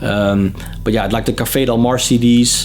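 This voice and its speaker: A man with a Dutch accent speaks at a moderate pace and a medium pitch with fairly even intonation, with audible room echo and music in the background. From Netherlands. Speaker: music vlogger and interviewer. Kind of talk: casual Q&A vlog. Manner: hesitant, many fillers and repetitions.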